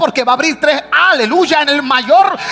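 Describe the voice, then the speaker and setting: A raised, projected voice moves at a moderate pace with ordinary pitch variation. Noticeable background noise is present. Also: man. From United States. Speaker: pastor. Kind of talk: sermon. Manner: animated, exclamatory preaching.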